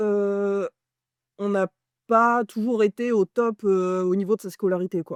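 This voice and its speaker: At a very slow pace, a woman talks in a medium pitch with a dark, mellow tone. The sound is dry and close with no echo, over a quiet background. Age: 30s. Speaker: postdoctoral ecology researcher. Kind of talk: personal testimony interview.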